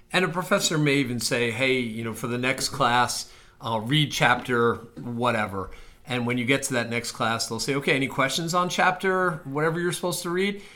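A man with an unremarkable speaking voice talks at a fairly quick pace, his medium pitch carrying lively intonation. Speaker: admissions officer podcast host. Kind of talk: casual chat.

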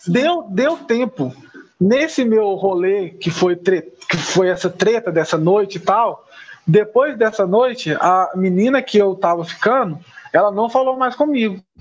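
The speaker goes at a moderate pace against noticeable background noise. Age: 20s. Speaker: podcast guest. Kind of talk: casual chat.

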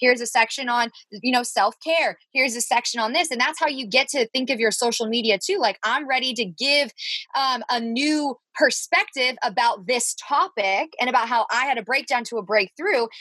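A woman talks at a moderate pace in a high, bright, sharp voice with ordinary pitch variation and an animated tone. The sound is dry and close, with no echo. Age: 20s. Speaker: podcast co-host, business coach. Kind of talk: casual chat. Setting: recording in her closet.

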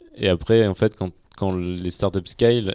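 Dark and mellow in tone, the voice holds a monotone, flat intonation at a moderate pace, with a dry, close sound with no echo in a very clean recording with a silent background. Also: man. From France, Auvergne (Clermont-Ferrand). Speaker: venture capital investor. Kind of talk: casual interview.

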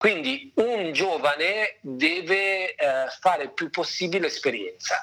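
A man speaks at a fairly slow pace. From northern Italy, Lake Maggiore (Novara province). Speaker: opera director, former opera singer. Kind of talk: interview conversation.

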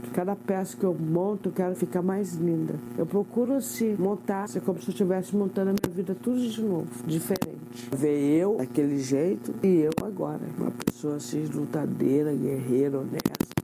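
With noticeable background noise behind her, a woman speaks at a moderate pace in a very deep, low pitch, with very wide pitch swings and hardly any pauses. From São Paulo state, Brazil (Cruzeiro). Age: 50s. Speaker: seamstress with a life story. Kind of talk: personal testimony.

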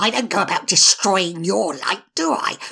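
Someone reads in a natural reading voice, the pitch shifting by normal amounts.

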